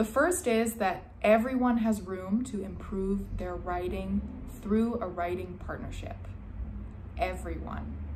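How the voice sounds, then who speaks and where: A woman speaks very slowly with a General American accent. Noticeable background noise runs under her voice. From Ohio, USA. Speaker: essay consultant and writing tutor. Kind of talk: promotional self-introduction to camera. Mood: calm, warm, earnest.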